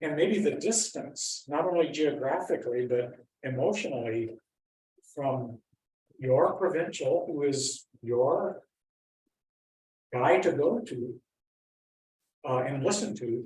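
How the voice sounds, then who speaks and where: Here a man talks very slowly, with long, frequent pauses and a fairly high, somewhat breathy voice. His intonation is lively. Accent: American. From US Midwest (Wisconsin, Iowa). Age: 70s. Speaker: Franciscan priest. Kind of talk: informal talk to a lay group. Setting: school library gathering, also on Zoom. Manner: conversational, with fillers and restarts.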